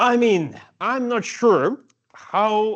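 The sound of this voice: A man speaks very slowly, his voice high-pitched and fairly bright in tone. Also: ordinary pitch variation.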